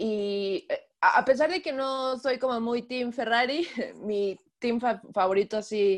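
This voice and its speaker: The pace is very slow. A woman speaks with fairly high pitch and ordinary pitch variation. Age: 20s. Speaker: race track marshal and illustrator. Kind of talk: interview. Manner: halting, many fillers.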